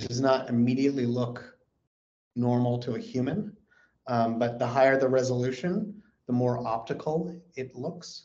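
Speaking at a moderate pace with long, frequent pauses, a man with an American accent has a dark, mellow tone. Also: medium pitch for a man, ordinary pitch variation. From California. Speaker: space company executive. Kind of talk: interview.

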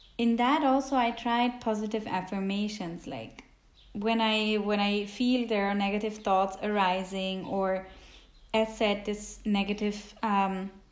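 Amid audible room echo, the speaker goes at a fairly slow pace with fairly even intonation. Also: woman. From Switzerland. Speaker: podcast host. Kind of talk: casual self-help monologue. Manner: hesitant, with many fillers.

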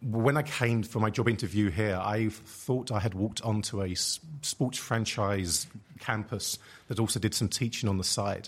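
Somewhat breathy, a man talks at a fairly low pitch with fairly even intonation, in a very clean recording with a silent background. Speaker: sociology professor. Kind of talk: panel discussion.

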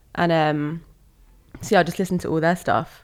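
The recording is very clean with a silent background. A woman with a southern English accent and a fairly low pitch speaks in a monotone, flat intonation. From southern England (West Sussex), moved from Malaysia at six. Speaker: creative consultant. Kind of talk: casual interview chat.

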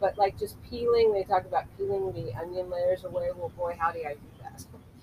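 Noticeable background noise accompanies a woman with an American accent and lively intonation. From Culver City, California. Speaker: movement and dance practitioner. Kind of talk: casual interview. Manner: animated.

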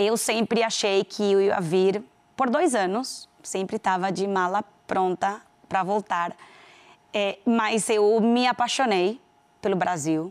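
A woman's medium-pitched voice with a Venezuelan accent, very slow in pace, very even in loudness, with ordinary pitch variation. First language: Spanish (speaking Portuguese). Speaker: business executive. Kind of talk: interview. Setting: TV studio.

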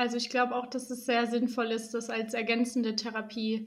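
A woman speaks at a fairly high pitch with a monotone, flat intonation. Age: 20s. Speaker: physiotherapist. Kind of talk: podcast interview.

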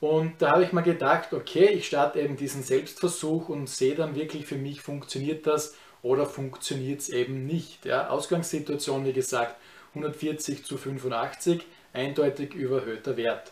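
The voice is somewhat breathy, keeping a moderate pace and fairly even intonation. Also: man, fairly high pitch for a man. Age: 30s. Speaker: YouTuber. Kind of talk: vlog review of personal experience. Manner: casual, with many filler words.

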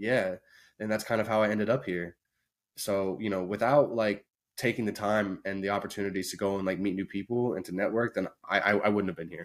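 In a very clean recording with a silent background, a man with a Midwestern American accent talks at a fairly quick pace, his fairly low pitch carrying fairly even intonation. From Indiana. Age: 20s. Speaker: streamer and video editor. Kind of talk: casual chat.

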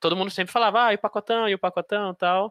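A man speaks with a bright, sharp tone in a dry, close recording with no echo and a quiet background. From Aracaju, Sergipe, Brazilian Northeast. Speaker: fantasy and science fiction writer, podcast host. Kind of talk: interview. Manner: halting, with repetitions.

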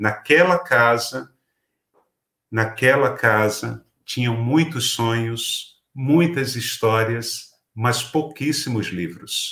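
On a very clean recording with a silent background, a man speaks very slowly in a medium pitch, his tone bright and sharp with ordinary pitch variation. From Pernambuco, Brazil. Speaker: writer and teacher. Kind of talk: talk to educators.

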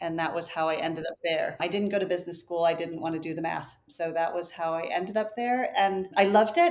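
A woman talks at a very fast pace with hardly any pauses, in an American accent. Her pitch is fairly low and her intonation fairly even. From US, Florida (Clearwater) and Wisconsin. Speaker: communications strategist. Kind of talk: interview.

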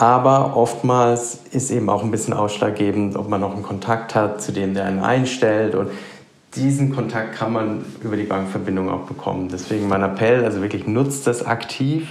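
Pitch sits fairly low for this man, who talks at a moderate pace with fairly even intonation. There is audible room echo and noticeable background noise. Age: 40s. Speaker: private banker. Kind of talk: interview.

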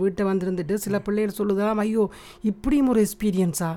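Dark, mellow tone from a woman, pitched in the medium range. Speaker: podcast co-host, mother. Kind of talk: casual chat.

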